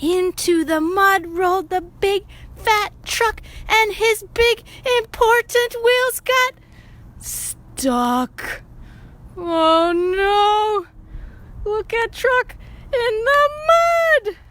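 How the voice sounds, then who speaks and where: A female-sounding put-on character voice at an extremely high pitch drags along at a very slow pace with long, frequent pauses. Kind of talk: children's read-aloud. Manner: upbeat, animated.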